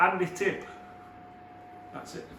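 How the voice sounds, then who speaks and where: A man is shouting at a moderate pace, with audible room echo and noticeable background noise. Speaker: kitchen fitter. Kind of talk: on-the-job tutorial. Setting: work site in a kitchen. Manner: loud, shouting.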